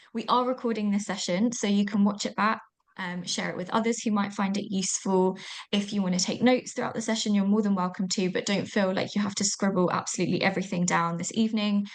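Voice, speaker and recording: A woman with a British accent talks at a very fast pace in a monotone, flat delivery. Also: medium pitch for a woman. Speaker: online event host. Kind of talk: webinar housekeeping and agenda. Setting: video call.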